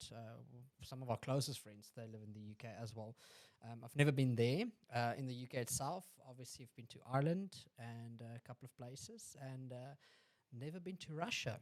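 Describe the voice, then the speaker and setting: A man with a South African accent at medium pitch, fairly quick but with long, frequent pauses, ordinary pitch variation and big swings in loudness. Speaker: podcast host. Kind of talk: casual chat.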